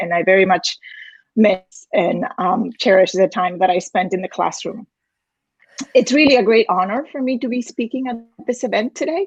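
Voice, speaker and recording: With lively intonation and a somewhat breathy voice, a woman speaks at a moderate pace and fairly high pitch in a dry, close sound with no echo. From Spain, Galicia. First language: Galician. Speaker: university dean, former Spanish professor. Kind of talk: prepared speech. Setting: virtual event. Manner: formal.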